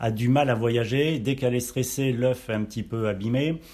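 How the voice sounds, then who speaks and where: A plain, everyday voice from a man at medium pitch, with ordinary pitch variation and a fairly slow pace. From Auvergne, France. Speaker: chef. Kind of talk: casual interview. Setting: on location at caviar farm.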